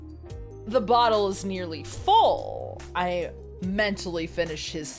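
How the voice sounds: Reading aloud, the voice sounds natural.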